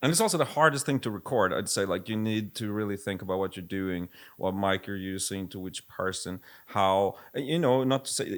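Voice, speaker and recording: On a very clean recording with a silent background, a man with a Swedish accent speaks at a fairly quick pace, his fairly low pitch showing ordinary pitch variation. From Sweden. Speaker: music producer and label head. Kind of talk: casual chat.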